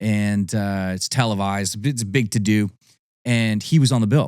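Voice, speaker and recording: A man with an ordinary speaking voice speaks with a Canadian accent at a moderate pace, his pitch fairly low. His intonation stays fairly even on a very clean recording with a silent background. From Ontario, Canada (Niagara Falls). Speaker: country singer. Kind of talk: casual interview chat.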